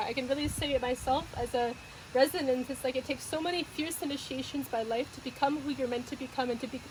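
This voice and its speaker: Over noticeable background noise, a woman talks at a very fast pace in a high pitch with fairly even intonation. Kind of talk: interview host; casual conversational interview, warm and appreciative. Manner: heartfelt, emotional, speaking with sincere appreciation.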